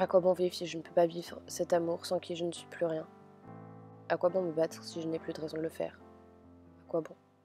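With music in the background, a woman speaks at a fairly low pitch in a monotone, flat way, leaving long, frequent pauses. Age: young. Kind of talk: emotional spoken-word text reading.

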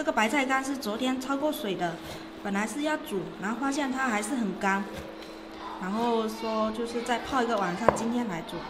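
Noticeable background noise sits under a woman speaking with ordinary pitch variation. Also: moderate pace. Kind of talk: casual cooking vlog narration. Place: kitchen.

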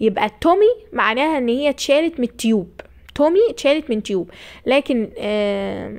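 On a very clean recording with a silent background, a woman speaks at a moderate pace in a high, animated voice with lively intonation. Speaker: nursing tutor. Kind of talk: lecture. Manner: raises voice at times.

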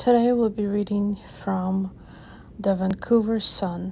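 A woman's medium-pitched, somewhat breathy voice, dark and mellow, gentle and calm, fairly slow and monotone with flat intonation. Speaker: channel host reading a poem. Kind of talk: poem reading aloud, ASMR-style. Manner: slow, soft-spoken, gentle; measured, calm, with rhythmic pacing.

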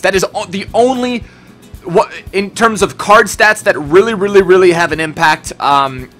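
Faint music sits behind a man speaking at a fairly quick pace. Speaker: gaming youtuber. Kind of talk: casual gaming commentary. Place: home room.

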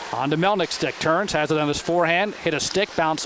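Noticeable background noise sits behind a man's voice. He talks at a fairly quick pace with a high pitch. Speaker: radio play-by-play announcer. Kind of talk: live sports play-by-play commentary. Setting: arena broadcast booth. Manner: rapid-fire, excited on goals.

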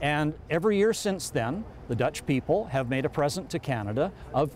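A man talks with lively intonation. The sound is dry with no echo, over light background noise. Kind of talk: interview answer. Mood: warm, proud, upbeat. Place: street. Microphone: lapel.

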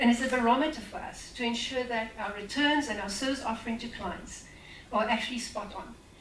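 Over light background noise and audible room echo, a woman speaks at a fairly quick pace with fairly even intonation and big swings in loudness. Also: fairly high pitch for a woman. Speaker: investment company representative; event host introducing speaker. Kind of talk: speaker introduction. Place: hall. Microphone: amateur recording by an attendee, poor sound; camera far.

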